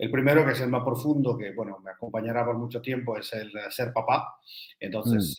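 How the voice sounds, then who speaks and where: A man with an Argentine accent speaks at medium pitch and a fairly quick pace. His intonation is fairly even, but his loudness swings widely. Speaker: energy business consultant. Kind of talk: interview. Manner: halting.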